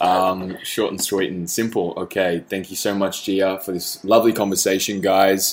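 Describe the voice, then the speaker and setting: The pace of this man's speech is moderate. He has a plain, everyday voice pitched fairly low. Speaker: podcast host. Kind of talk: interview.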